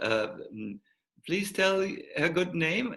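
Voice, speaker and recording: With a German accent, a high-pitched man talks in a bright, sharp tone with lively intonation. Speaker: monk and spiritual teacher. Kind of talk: online talk farewell. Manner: halting, many fillers.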